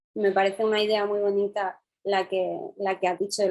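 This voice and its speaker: A woman's medium-pitched voice at a moderate pace. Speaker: interviewer, architect. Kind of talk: interview.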